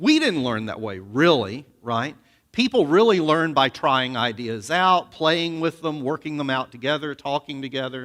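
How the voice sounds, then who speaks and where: A man talks loudly at a moderate pace with an American accent and fairly high pitch. The recording is very clean, with a silent background. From US South, Alabama. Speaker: seminary professor. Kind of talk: sermon.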